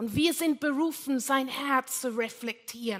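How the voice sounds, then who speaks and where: A woman's raised, projected voice with a non-native accent, high pitch, bright, sharp tone, ordinary pitch variation and a very slow pace. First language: not German (speaking German). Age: 60s. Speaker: pastor. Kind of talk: sermon. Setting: church.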